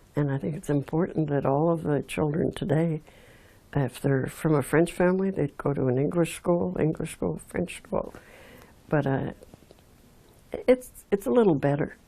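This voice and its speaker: Speaking at a moderate pace with long, frequent pauses, a woman with an Outaouais accent uses lively intonation at a very deep, low pitch. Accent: Anglophone Canadian English (Outaouais). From Quebec (Aylmer, Outaouais). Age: 80s+. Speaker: local heritage storyteller, volunteer. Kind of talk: oral history interview. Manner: halting, many fillers.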